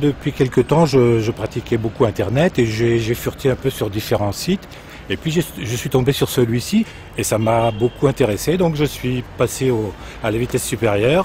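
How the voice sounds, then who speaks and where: At a moderate pace, a man talks at a medium pitch with ordinary pitch variation amid noticeable background noise. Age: 60s. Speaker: retired finance worker, website contributor. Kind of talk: interview testimony.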